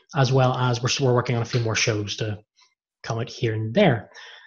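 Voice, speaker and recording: A somewhat breathy male voice. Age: 30s. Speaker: podcast host. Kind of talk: casual chat.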